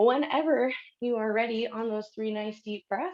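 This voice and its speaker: A woman's voice sits at a fairly high pitch with ordinary pitch variation. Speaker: yoga instructor. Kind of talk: live yoga class instruction.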